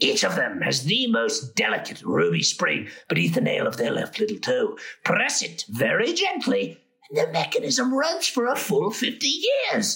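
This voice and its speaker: A man puts on a character voice. He talks at a moderate pace. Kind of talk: mock showman's spiel. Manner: playful, ironic, rambling.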